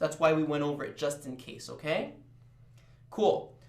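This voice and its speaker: Noticeable background noise and audible room echo are present. A man speaks fairly quickly through them. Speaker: chemistry tutor. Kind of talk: live tutoring session. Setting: live stream. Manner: animated.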